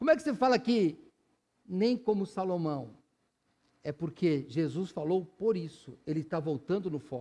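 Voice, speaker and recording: A man with a high pitch and a dark, mellow tone speaks with lively intonation, broken by long, frequent pauses. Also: fairly slow pace. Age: 60s. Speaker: pastor. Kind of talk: sermon. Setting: church.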